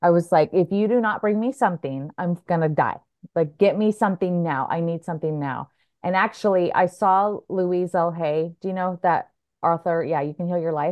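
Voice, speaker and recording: With an American accent, a woman speaks at a moderate pace in a fairly low pitch with ordinary variation, a normal speaking voice. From Oregon, US. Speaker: breathwork coach. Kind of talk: interview. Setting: video call.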